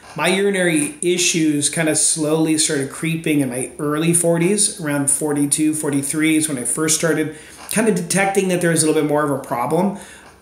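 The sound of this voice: The man's voice is fairly high, with fairly even intonation and few pauses. He talks at a fairly quick pace amid strong room echo.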